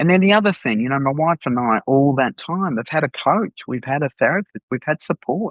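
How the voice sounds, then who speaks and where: A man with an unremarkable speaking voice, fairly high in pitch, talking at a fairly quick pace with hardly any pauses and lively intonation. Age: 60s. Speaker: coach and consultant. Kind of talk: podcast interview.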